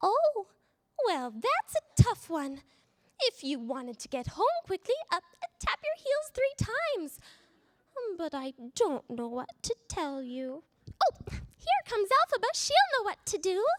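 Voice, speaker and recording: Putting on a character voice, a woman speaks at an extremely high pitch and a fairly slow pace, with very wide pitch swings and long, frequent pauses. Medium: read story. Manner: sugary and self-satisfied.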